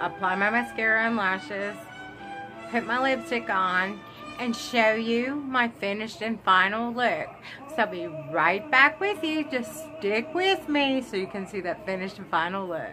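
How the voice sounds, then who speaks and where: Clear background music beneath a woman's fairly slow speech. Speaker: beauty vlogger. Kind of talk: tutorial. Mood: earnest, solemn. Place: home room. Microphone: phone near.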